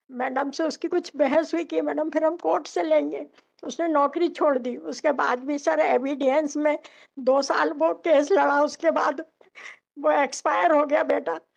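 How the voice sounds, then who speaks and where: A woman speaks at a high pitch. Her pitch rises and falls in an ordinary way. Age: 60s. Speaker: petitioner in court. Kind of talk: testimony. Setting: courtroom.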